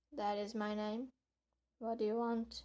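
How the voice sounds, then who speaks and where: Putting on a character voice, a woman speaks in a hoarse, hissing tone at a fairly high pitch, with monotone, flat intonation at a moderate pace. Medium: read story. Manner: curt, guarded, defiant.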